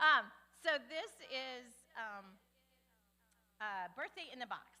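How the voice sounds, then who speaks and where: Very slowly, a woman speaks in a raised, projected voice at a high pitch, with big swings in loudness. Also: lively intonation. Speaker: church volunteer organizer. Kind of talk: church announcement.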